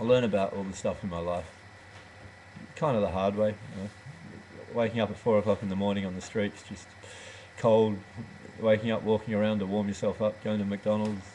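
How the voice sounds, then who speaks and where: Speaking in an Australian accent, a man has a fairly low pitch and monotone, flat intonation. His pace is fairly quick, broken by long, frequent pauses. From rural Western Australia. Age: 30s. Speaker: goat dairy farmer. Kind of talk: casual webcam monologue. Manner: halting, many fillers.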